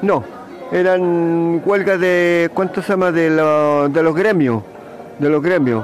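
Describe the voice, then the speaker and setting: A man's high-pitched voice at a very slow pace, with ordinary pitch variation, audible room echo and noticeable background noise. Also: very even loudness. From Chile, San Bernardo. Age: 80s+. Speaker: elderly interviewee recalling the past. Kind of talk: interview. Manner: halting, frequent fillers.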